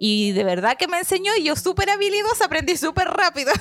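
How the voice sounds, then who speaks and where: This woman races along very fast with very wide pitch swings while noticeable background noise carries on. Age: 30s. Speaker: missionary leader. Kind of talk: testimony.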